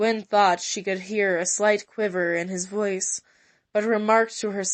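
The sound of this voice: An unforced reading voice with fairly even intonation is heard over a quiet background.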